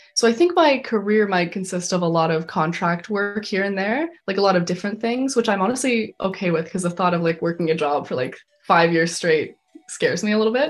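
A woman speaks in an ordinary speaking voice of medium pitch. Her pace is fairly quick. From Canada, Calgary, Alberta. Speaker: animation filmmaker, recent art school graduate. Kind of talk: interview. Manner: casual, filler-heavy (like, um).

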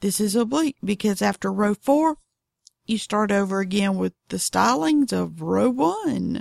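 A woman drawls at a fairly slow pace in a Southern US accent. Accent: Southern drawl. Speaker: knitting podcaster. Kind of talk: casual tutorial monologue. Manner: unhurried, drawling; chatty, animated.

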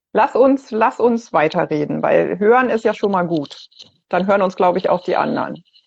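A woman at a medium pitch talks at a moderate pace with lively intonation and vocal fry. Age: 50s. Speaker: cancer patient. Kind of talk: casual chat. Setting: video call.

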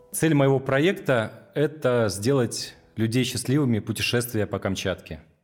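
With music in the background, the speech moves at a fairly slow pace with big swings in loudness. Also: man, medium pitch for a man, lively intonation. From Russia, Kamchatka (Petropavlovsk-Kamchatsky). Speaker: social entrepreneur, tour organizer. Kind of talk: documentary interview.

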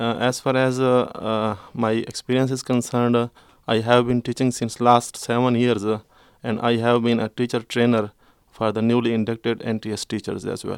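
A man at medium pitch and moderate pace, monotone and flat, dry and close with no echo, on a very clean recording with a silent background. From Pakistan, Khyber Pakhtunkhwa. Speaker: secondary school teacher. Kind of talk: panel interview; reading prepared statement.

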